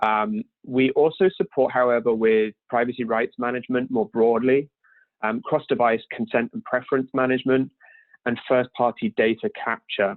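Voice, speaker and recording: In a British accent, a man speaks at medium pitch with ordinary pitch variation. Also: moderate pace. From UK. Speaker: privacy software solutions engineer. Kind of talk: webinar presentation. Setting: remote webinar from home. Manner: hesitant, many filler ums.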